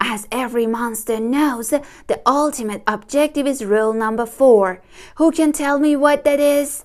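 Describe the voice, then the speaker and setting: A woman speaks in a high-pitched, put-on character voice. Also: moderate pace. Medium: read story. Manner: formal, instructive.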